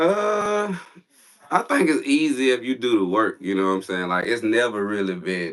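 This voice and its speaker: Over noticeable background noise, a man speaks at a moderate pace in a Southern US accent. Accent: Southern country. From US South, South Carolina. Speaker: YouTuber. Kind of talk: casual interview. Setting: livestream.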